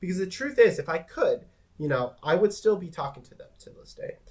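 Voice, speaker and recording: A man speaks with lively intonation. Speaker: vlogger. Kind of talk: personal vlog monologue. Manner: hesitant, many fillers.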